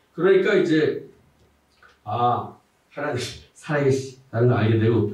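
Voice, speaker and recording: Somewhat breathy and at a fairly slow pace, a man speaks with audible room echo. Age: 60s. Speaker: pastor. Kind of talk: testimony.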